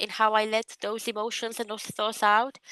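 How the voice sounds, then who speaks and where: The tone is bright and sharp, with a Romanian accent. The recording is dry and close, without echo. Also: woman, quiet background. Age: 20s. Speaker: public servant and writer. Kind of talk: interview.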